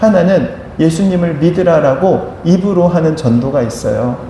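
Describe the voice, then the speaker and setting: Amid noticeable background noise and audible room echo, a high-pitched man talks fairly slowly with lively intonation. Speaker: pastor. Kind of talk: sermon.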